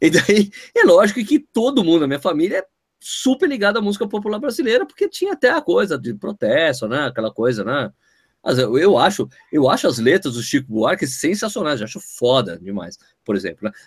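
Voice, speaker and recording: A man's fairly quick speech, dry and close with no echo, in a very clean recording with a silent background. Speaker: running podcast host. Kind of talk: casual chat. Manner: animated.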